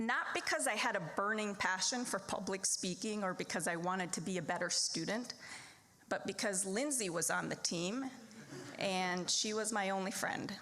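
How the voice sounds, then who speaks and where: At a moderate pace and very even loudness, a woman with a slight Minnesota accent speaks at a medium pitch with ordinary pitch variation. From Wisconsin small town, born in the Philippines. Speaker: lawyer and debate program supporter. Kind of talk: fundraising speech.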